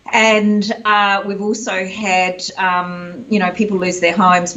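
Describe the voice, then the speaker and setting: Delivered at a fairly slow pace with hardly any pauses, the New Zealand accent comes through over noticeable background noise and audible room echo. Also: woman. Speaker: executive coach. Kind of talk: interview.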